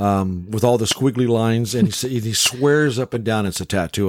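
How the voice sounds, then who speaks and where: The man has an unremarkable speaking voice with a fairly low pitch. He talks at a fairly quick pace with ordinary pitch variation. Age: 60s. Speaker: podcast host. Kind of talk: casual chat. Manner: jokey, folksy.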